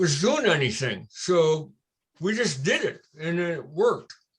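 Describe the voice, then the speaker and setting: A man talks with an American accent. His voice sits high in pitch. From Cincinnati, Ohio, US Midwest. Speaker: retired victory lane coordinator. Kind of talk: interview. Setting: video call. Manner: loud.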